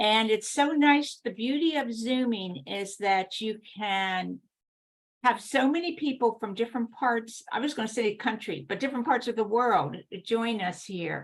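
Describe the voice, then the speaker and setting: A woman's unremarkable speaking voice, fairly high and fairly slow, with lively intonation. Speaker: event host. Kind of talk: online event introduction.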